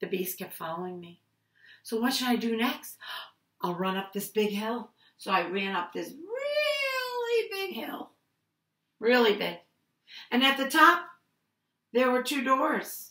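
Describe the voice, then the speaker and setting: A woman's fairly high, sing-song voice with a warm, playful tone, lively intonation and big swings in loudness, at a fairly slow pace with long, frequent pauses, audible room echo and a quiet background. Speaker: preschool teacher. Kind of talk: picture-book storytelling for small children. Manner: animated, sing-song voice acting out calls and ouches; warm, slow, playful teacher tone addressing toddlers. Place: home room. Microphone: webcam.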